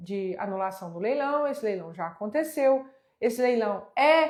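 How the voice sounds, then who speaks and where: A woman's voice with very wide pitch swings. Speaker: real estate auction instructor. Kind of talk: live online class. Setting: livestream on Instagram and YouTube.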